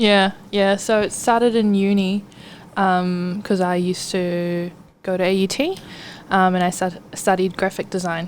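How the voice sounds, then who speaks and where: A woman's medium-pitched voice with a New Zealand accent, fairly slow pace and monotone, flat intonation. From New Zealand, Auckland (Clover Park). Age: 20s. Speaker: clothing brand founder. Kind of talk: casual interview.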